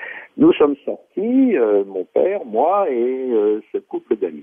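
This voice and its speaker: This is a man speaking. His pace is very slow. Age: 80s+. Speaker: writer and lecturer. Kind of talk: interview.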